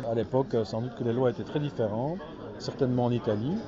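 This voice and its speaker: Over crowd noise in the background, a man talks at a medium pitch with ordinary pitch variation. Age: 60s. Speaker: comic book author and publisher. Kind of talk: interview. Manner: hesitant with repetitions.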